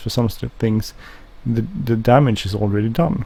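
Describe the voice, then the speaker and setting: Mumbling at a fairly quick pace, a man speaks in a somewhat breathy voice. His tone is dark and mellow. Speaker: gaming video creator. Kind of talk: gameplay commentary. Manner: halting.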